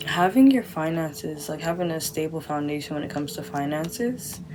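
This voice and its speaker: Over noticeable background noise, a woman speaks quietly at a very deep, low pitch. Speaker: tarot card reader. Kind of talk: pick-a-card tarot reading. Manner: speaking quietly; casual, filler-heavy.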